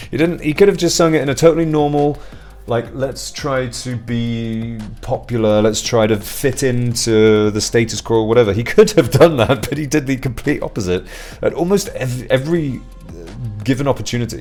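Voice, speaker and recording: A man talks at a moderate pace with lively intonation. Noticeable background noise runs beneath him. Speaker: music reviewer. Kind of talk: album review monologue. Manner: casual, hesitant with fillers.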